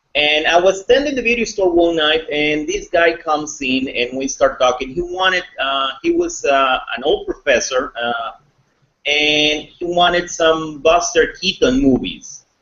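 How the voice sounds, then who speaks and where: A man with a high pitch speaks at a fairly slow pace, his intonation lively. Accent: Spanish. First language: Spanish. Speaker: thriller author. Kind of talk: interview.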